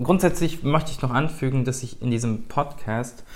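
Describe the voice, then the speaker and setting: At a fairly slow pace and medium pitch, a man talks in a plain, everyday voice. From Germany, Rhineland (Bonn). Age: 20s. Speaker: cooking YouTuber. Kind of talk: solo podcast monologue. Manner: casual, with fillers and restarts.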